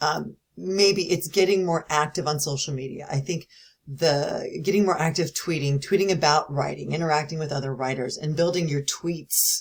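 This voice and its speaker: With hardly any pauses, a woman speaks in a very deep, low pitch that is somewhat breathy, her intonation fairly even. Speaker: university instructor. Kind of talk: recorded lecture. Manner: fast; casual, with fillers.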